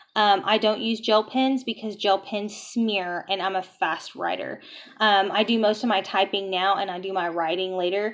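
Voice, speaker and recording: Her voice is an unremarkable speaking voice, as a woman talks at a medium pitch and moderate pace with fairly even intonation. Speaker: nursing student and vlogger. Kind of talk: casual vlog tutorial.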